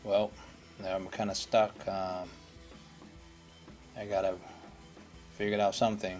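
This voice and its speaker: Faint music plays behind a man whose fairly low voice keeps a fairly even intonation. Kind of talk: casual DIY commentary. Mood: mildly frustrated. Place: garage. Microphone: phone near.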